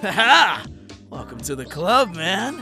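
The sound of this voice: In a cartoonish character voice with a bright, sharp tone, the speaker goes at a slow pace with big pitch swings as faint music plays in the background. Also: man, high pitch for a man.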